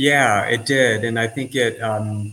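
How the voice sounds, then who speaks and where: A man with an American accent and medium pitch, fairly even intonation, amid noticeable background noise. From Southern California. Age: 50s. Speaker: artist and surfer, expat. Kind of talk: casual interview chat.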